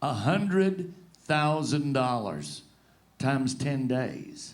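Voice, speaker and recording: Through audible room echo, a man with vocal fry speaks at medium pitch with lively intonation. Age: 60s. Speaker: rodeo announcer and show co-host. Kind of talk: panel discussion. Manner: animated.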